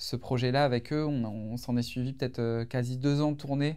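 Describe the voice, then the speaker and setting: On a very clean recording with a silent background, a medium-pitched man speaks with fairly even intonation. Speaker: singer. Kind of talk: casual interview. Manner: hesitant, many fillers.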